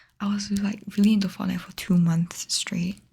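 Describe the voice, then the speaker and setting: Soft-spoken, the speaker talks at a moderate pace. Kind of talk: asmr talk to camera.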